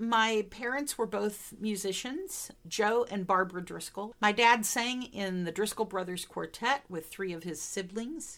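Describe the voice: A woman's medium-pitched voice with a Midwestern accent, fairly bright in tone, at a fairly slow pace with few pauses and ordinary pitch variation. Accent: American Midwestern.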